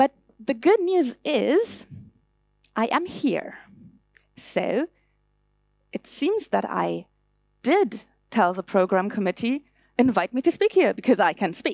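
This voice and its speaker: A high-pitched woman with a German accent, very slow and with long, frequent pauses, her pitch swinging very widely, in a dry, close sound with no echo. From Germany. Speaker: conference speaker. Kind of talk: conference talk.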